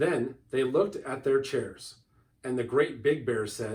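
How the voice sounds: The clip features a natural reading voice. It is read aloud.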